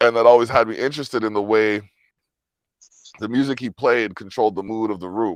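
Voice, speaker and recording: Speaking with a Jamaican accent, the voice moves at a fairly quick pace with fairly even intonation. Long, frequent pauses break up the speech. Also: man, medium pitch for a man. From Jamaican heritage family. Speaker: musician. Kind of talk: casual interview chat. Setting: video call.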